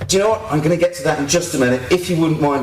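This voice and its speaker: A man speaks with a British accent, and the room echo is audible. Noticeable background noise runs under his voice. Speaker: activist and blogger giving a talk. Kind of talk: conference talk. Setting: stage with audience. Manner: fast.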